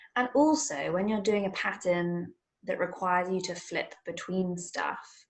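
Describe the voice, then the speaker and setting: A woman with a British accent speaks in a fairly low pitch with ordinary pitch variation. Her voice is somewhat breathy. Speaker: podcast co-host. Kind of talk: casual chat.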